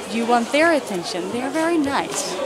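With crowd noise in the background, the speaker talks at a moderate pace. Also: woman. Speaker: travel vlogger. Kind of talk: casual vlog chat. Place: market. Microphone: phone near.

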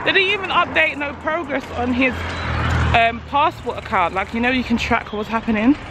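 Noticeable background noise surrounds a woman whose pitch swings very widely. The sound is dry, with no echo. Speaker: vlogger parent. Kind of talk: casual vlog chat. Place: street. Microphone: phone near.

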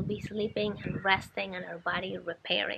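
A woman speaks at a moderate pace with a medium pitch and fairly even intonation, over noticeable background noise. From Colombia. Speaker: wellness vlogger. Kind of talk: casual vlog talk to camera.

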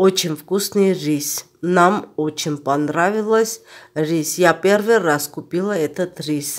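Speaking very slowly in an Armenian accent, a woman with a fairly low pitch uses ordinary pitch variation on a very clean recording with a silent background. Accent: Armenian accent in Russian. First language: Armenian (speaking Russian). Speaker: cooking vlogger. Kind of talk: cooking tutorial.

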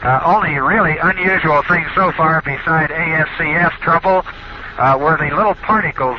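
Against loud background noise, a speaker with an American accent talks at a moderate pace with ordinary pitch variation. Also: man. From United States. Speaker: astronaut. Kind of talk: radio communication, live space mission. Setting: radio transmission from orbit. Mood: calm, amazed. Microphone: headset.

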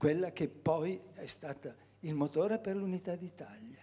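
A man speaks at a very slow pace. His voice sits at a high pitch. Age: 80s+. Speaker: audience member asking a question; audience member. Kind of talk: audience question. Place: hall. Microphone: podium.

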